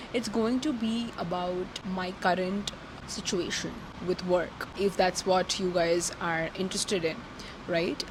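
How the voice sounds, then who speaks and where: There is noticeable background noise behind a woman speaking at medium pitch with ordinary pitch variation. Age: 20s. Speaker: content creator and social media strategist. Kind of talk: casual vlog monologue. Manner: fast.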